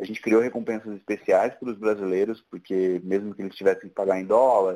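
A man is talking. He keeps a moderate pace. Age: 30s. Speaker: tech entrepreneur. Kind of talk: casual interview.

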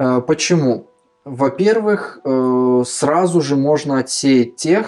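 An unremarkable speaking voice from a man, medium in pitch, with ordinary pitch variation. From Kazakhstan. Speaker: education center founder. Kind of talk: casual interview.

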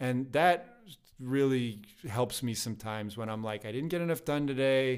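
A man with an American accent, medium pitch and ordinary pitch variation, at a moderate pace in a normal speaking voice. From United States. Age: 30s. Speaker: classical guitarist and yoga teacher. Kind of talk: casual interview.

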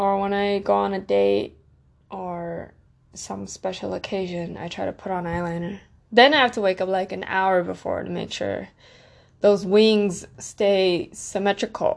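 Against a quiet background, a woman speaks fairly slowly with big swings in loudness. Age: 20s. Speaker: solo podcaster. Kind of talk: casual monologue.

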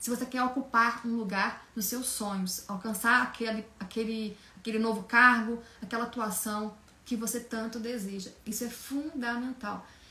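Over noticeable background noise, a woman with a fairly high pitch speaks in a monotone, flat intonation. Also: moderate pace. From Minas Gerais, Brazil. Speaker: communication coach. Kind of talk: online lecture.

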